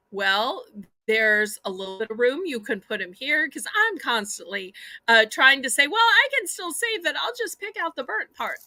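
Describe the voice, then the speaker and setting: A raised, projected voice with a Southern US accent moves at a moderate pace, its bright, sharp tone animated and its pitch swinging very widely. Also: woman, high pitch for a woman. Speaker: live online auction host. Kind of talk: live sales auction. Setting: livestream.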